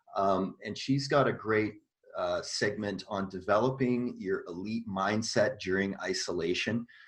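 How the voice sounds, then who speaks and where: At a fairly slow pace, someone with a Canadian accent speaks in a plain, everyday voice with ordinary pitch variation. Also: man. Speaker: tennis coach and co-host. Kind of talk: casual chat.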